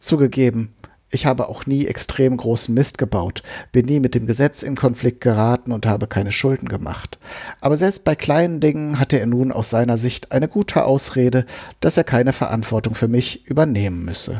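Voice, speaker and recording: Recorded with a dry, close sound and no echo, a man with a medium pitch and a dark, mellow tone speaks at a moderate pace with ordinary pitch variation. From Germany, Westphalia. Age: 40s. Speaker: recovering alcoholic memoirist. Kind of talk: reading aloud.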